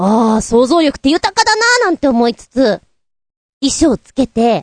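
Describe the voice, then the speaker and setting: Her voice is high for a woman with very wide pitch swings, delivered at a moderate pace in a dry, close sound with no echo. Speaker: podcast host. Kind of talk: casual chat. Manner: casual, chatty.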